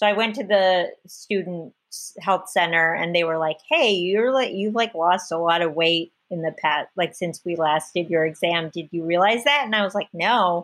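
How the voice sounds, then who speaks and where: A woman speaks at a moderate pace with ordinary pitch variation, her pitch fairly low. It is a plain, everyday voice over a quiet background. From United States, child of immigrants. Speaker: comedian and actress. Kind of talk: casual chat.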